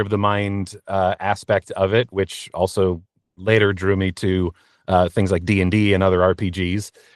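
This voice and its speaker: In a dry, close recording with no echo and a quiet background, a man speaks at a fairly low pitch. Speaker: voice actor. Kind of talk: interview answer. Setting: home recording booth.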